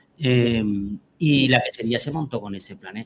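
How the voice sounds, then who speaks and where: A plain, everyday voice from a man at medium pitch, with lively intonation and a moderate pace. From Albacete, Spain. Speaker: cheesemaker. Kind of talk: interview.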